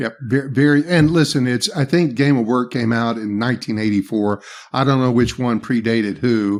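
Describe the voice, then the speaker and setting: On a very clean recording with a silent background, a man with a Southern US accent speaks at a medium pitch with ordinary pitch variation. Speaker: leadership trainer. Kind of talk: podcast interview.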